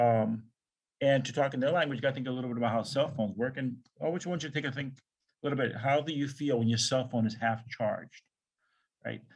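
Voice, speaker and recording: His delivery is very fast, broken by long, frequent pauses. The man has a medium pitch and fairly even intonation. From US Northeast, New York City. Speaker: professor. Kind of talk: lecture. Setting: video call.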